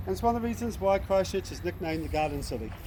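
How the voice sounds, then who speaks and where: A man's voice over noticeable background noise. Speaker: gondola tour guide. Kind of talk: guided tour commentary. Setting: outdoors on a river boat.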